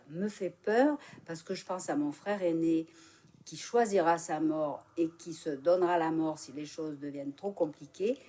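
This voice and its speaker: A woman speaks fairly slowly in a fairly low, dark and mellow voice. Her pitch varies in an ordinary way. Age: 70s. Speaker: interviewee in a vox pop. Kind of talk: interview answers.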